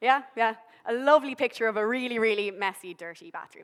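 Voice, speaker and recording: A woman with a Dublin accent talks at a very fast pace and a fairly high pitch. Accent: Irish (Dublin). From Ireland, Dublin. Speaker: behavioural scientist. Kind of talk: public science talk. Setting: stage with audience. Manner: casual, humorous presenting.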